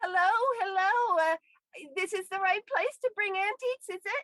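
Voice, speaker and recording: In a put-on character voice, squeaky and extremely high-pitched, the speaker moves at a moderate pace. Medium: audio drama. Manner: friendly, wordy.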